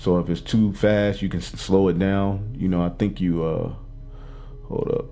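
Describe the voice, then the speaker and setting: A man's fairly low, monotone voice with flat intonation comes through audible room echo and noticeable background noise. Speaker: religious teacher. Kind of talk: bible class teaching. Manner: fast.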